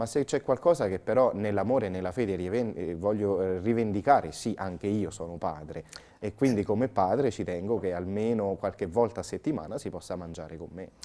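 The delivery runs at a fairly quick pace with ordinary pitch variation. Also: man, fairly low pitch for a man. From central Italy (Umbria). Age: 30s. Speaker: priest; priest guest. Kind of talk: interview; interview answer. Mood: calm, earnest, at times grave. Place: studio. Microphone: lapel.

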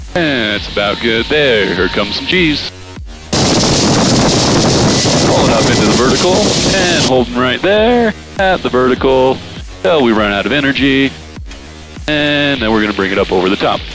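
A man with long, frequent pauses, a dry sound with no echo and loud music in the background. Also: moderate pace. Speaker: flight instructor pilot. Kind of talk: instruction and radio calls. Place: plane. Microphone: headset.

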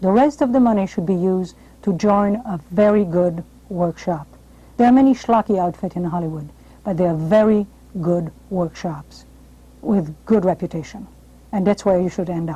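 With a French accent, the speaker keeps a moderate pace broken by long, frequent pauses. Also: woman, medium pitch for a woman, ordinary pitch variation. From France. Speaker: television host and drama coach. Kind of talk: interview and advice monologue. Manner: formal. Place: studio. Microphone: lapel.

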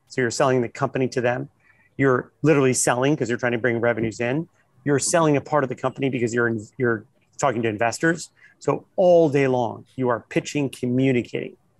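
A man with an American accent talks at a very fast pace and medium pitch with ordinary pitch variation, in a dry recording with no echo and a quiet background. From US Midwest (Ohio). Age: 50s. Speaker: investor and entrepreneur; guest. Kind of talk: interview on a panel. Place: hall. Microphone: earbuds.

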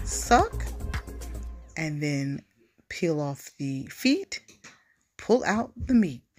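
A woman's voice with music in the background. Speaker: food vlogger. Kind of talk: casual mukbang vlog chat. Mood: cheerful, enthusiastic. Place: cafe. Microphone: phone near.

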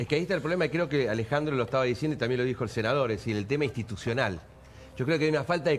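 Light background noise sits behind a man. His intonation is lively. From Argentina. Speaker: political panelist, university lecturer; panelist, analyst who teaches at university. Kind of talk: TV panel discussion. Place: studio. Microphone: lapel.

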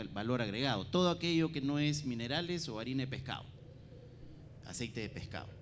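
At a moderate pace, a man speaks with ordinary pitch variation over light background noise. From Peru. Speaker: government trade official; panelist. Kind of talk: conference presentation. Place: hall. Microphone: handheld.

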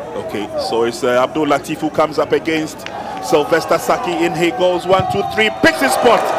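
Very wide pitch swings from a man with a high pitch at a fairly quick pace, over crowd noise in the background. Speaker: football play-by-play commentator. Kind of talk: live football match commentary. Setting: commentary position at stadium. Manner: excitable, rising to bursts of exclamation at chances.

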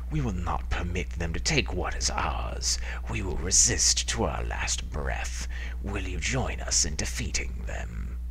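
A put-on, growling character voice at a fairly slow pace, with clear background noise. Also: man. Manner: rousing, commanding.

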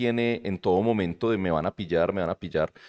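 Against a quiet background, a man with a Medellín Colombian accent talks very fast with lively intonation. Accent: Colombian paisa (Medellín) Spanish. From Colombia, Medellín. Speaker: university lecturer and shop owner; university lecturer. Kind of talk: casual chat. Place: studio. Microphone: studio mic.

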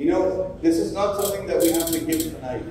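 A man's voice in strong room echo, over light background noise. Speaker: charity event speaker. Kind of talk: charity fundraising appeal. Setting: stage with audience. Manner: persuasive, earnest, rousing. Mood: persuasive, urging donations. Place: hall.

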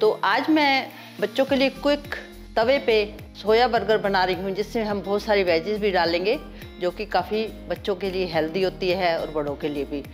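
With music playing in the background, a woman speaks at a medium pitch with lively intonation. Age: 60s. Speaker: home cook. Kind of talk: cooking tutorial talk.

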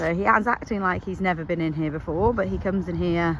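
A very fast, animated British-accented delivery, dry with no echo, over light background noise. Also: woman. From England. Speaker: horse rider and vlogger. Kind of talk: casual vlog, talking to horse. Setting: outdoors with horses. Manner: animated, chatty. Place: farm machine. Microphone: phone near.

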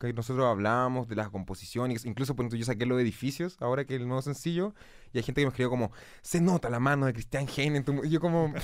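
A man speaks at a very fast pace with a Chilean accent. His intonation is lively, and the background is quiet. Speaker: musician. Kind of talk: casual chat. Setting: studio. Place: studio. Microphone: studio mic.

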